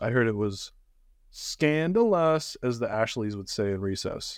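Lively intonation marks this man's fairly slow speech in an ordinary speaking voice. The recording is very clean, with a silent background. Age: 20s. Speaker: gaming podcast host. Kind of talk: casual chat.

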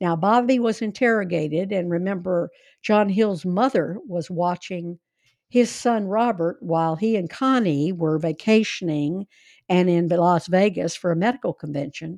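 A woman speaks in a plain, everyday voice of medium pitch with ordinary pitch variation. Her pace is moderate and the background is quiet. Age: 60s. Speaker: podcast host. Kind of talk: casual storytelling conversation.

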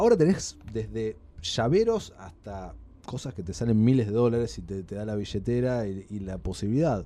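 In a Rioplatense accent, a man speaks at a moderate pace with a fairly low pitch. His tone is dark and mellow, with ordinary pitch variation. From Argentina. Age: 30s. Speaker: podcast guest. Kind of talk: casual chat.

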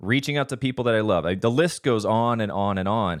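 A man speaks in a normal speaking voice at a medium pitch with ordinary pitch variation. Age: 40s. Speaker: podcast host on men's wellbeing. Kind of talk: solo monologue, self-help talk.

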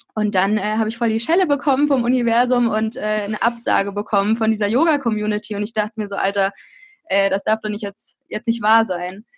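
Using an unremarkable speaking voice, a woman talks at a fairly quick pace with a fairly high pitch and ordinary pitch variation. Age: 20s. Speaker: blogger and podcaster. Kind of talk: casual interview.

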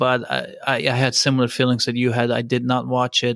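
A man speaks at a medium pitch in a dry, close sound with no echo. The recording is very clean, with a silent background. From Turkey. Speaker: podcast host. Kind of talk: casual interview.

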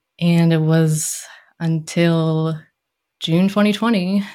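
A woman with an American accent and a fairly low voice speaks with fairly even intonation, a plain, everyday voice. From Maryland, US. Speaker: clinical social worker and therapist. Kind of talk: interview conversation.

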